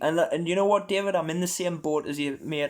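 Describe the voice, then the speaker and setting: A fairly high-pitched man with an American accent, on a very clean recording with a silent background. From Northumberland, northern England. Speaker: podcast host. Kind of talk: casual chat. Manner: animated.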